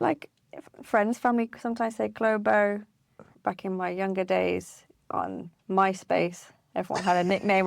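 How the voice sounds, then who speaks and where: Her medium-pitched voice comes through a very clean recording with a silent background. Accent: British. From UK. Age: 30s. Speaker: project manager. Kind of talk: casual interview chat.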